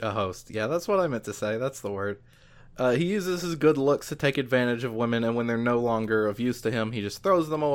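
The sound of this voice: Lively intonation colors the words of an unforced reading voice.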